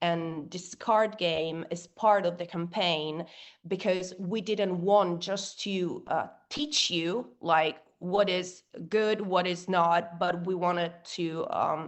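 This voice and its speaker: In an Italian accent, a woman speaks very slowly at a fairly low pitch with fairly even intonation. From Italy. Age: young. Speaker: rock singer and activist. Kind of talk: interview. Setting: podcast. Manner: halting, many fillers.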